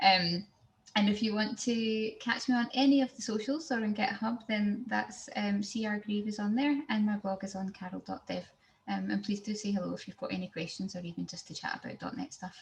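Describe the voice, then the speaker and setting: Speaking at a fairly quick pace, a woman with a Glaswegian accent uses a medium pitch and ordinary pitch variation. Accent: Glaswegian Scottish. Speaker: software engineer, tech speaker. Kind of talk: technical presentation. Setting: video call. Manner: fast.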